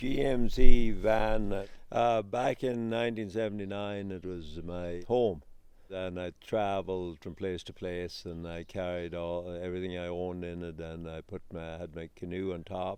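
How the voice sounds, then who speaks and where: Big swings in loudness mark this man's very deep, low voice and dark, mellow tone. He keeps a moderate pace and fairly even intonation. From west of Ireland. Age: 60s. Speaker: interviewee, rural homesteader. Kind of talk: personal interview testimony. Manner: halting, many fillers and restarts.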